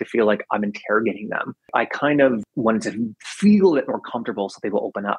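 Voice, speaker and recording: An ordinary speaking voice from a man, medium in pitch, at a fairly quick pace. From US South. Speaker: podcast host and radio producer. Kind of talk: interview. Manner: casual, frequent fillers.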